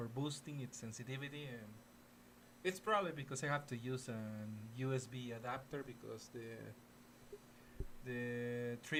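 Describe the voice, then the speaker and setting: Someone with a Mexican accent speaks at a moderate pace with fairly even intonation and long, frequent pauses. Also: man. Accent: Mexican Spanish accent on English. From Mexico. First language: Spanish. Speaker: gaming streamer. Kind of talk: live gaming stream chat. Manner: halting, frequent repetitions and fillers.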